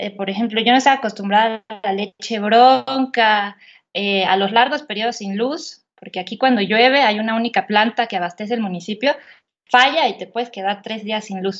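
A woman talks at a moderate pace with a fairly high pitch. Her loudness swings widely, while her pitch variation stays ordinary. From rural central Mexico, Estado de México–Querétaro border. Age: 30s. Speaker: writer and journalist. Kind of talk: interview conversation. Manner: hesitant with fillers and repetitions.

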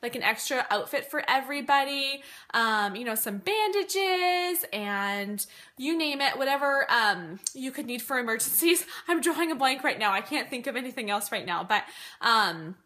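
With a bright, sharp tone, a woman speaks in a raised, projected voice at a moderate pace, her pitch swinging very widely. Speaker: mom vlogger. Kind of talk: casual vlog chat. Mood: friendly, chatty. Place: home room. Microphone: phone near.

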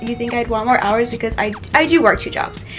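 Over clear background music, a woman speaks at a high pitch. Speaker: vlogger. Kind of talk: casual vlog chat. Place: home room. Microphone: phone near.

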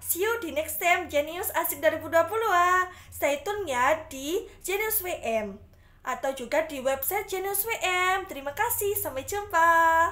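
The voice is raised and projected, with an upbeat, bright, sharp tone. Its intonation is lively while the pace stays fairly slow. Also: woman, extremely high pitch for a woman. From Indonesia. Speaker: student radio announcer contestant. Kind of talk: radio announcer patter, scripted-style show segment. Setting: radio studio broadcast simulation. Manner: bright, chatty, upbeat, friendly; rhetorical questions to listeners, Indonesian-English code-mixing. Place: home room. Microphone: phone near.

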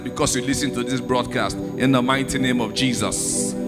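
A man's moderate-paced speech comes with music clearly heard behind it. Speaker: church minister introducing the sermon. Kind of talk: sermon introduction. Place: church. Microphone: handheld.

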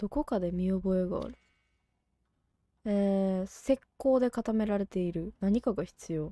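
Spoken at a very slow pace with long, frequent pauses, this voice in a Kansai accent has a dark, mellow tone, ordinary pitch variation, and a dry, close sound with no echo. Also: woman. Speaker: game streamer. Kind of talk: casual let's-play commentary.

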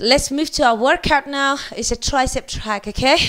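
A woman's high-pitched, bright and sharp voice at a fairly slow pace, over a quiet background. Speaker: fitness instructor. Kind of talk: workout instruction. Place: gym. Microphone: headset.

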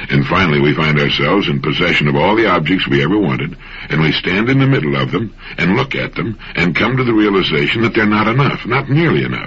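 The speaker talks at a very fast pace with very wide pitch swings. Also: man, very deep, low pitch for a man. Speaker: motivational radio host. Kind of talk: motivational radio talk. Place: studio.

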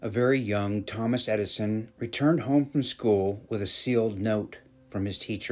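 Pitch variation here is ordinary. It belongs to a natural reading voice.

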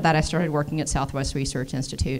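This is a woman's voice. She speaks with an American accent.

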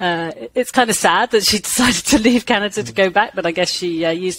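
With an English accent and lively intonation, a woman at medium pitch speaks at a moderate pace, in a dry sound with no echo and light background noise. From England. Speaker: microbiology professor. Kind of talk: interview. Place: home room. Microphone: headset.

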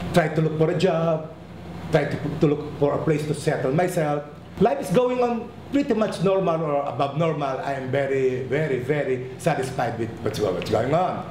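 Over noticeable background noise and audible room echo, a man with a fairly high voice speaks at a moderate pace with lively intonation. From Philippines. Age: 60s. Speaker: documentary subject. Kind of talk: testimony. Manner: halting.

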